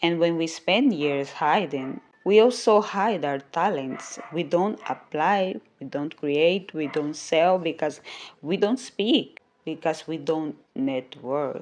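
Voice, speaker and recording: A woman with a non-native accent, lively intonation and a very slow pace. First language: not English. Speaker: podcast host and YouTuber. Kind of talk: motivational monologue.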